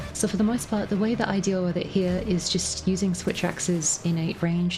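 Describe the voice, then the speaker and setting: A woman speaks at a fairly quick pace with a fairly low pitch. Her intonation stays fairly even while music plays in the background. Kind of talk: gameplay commentary. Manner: casual, conversational.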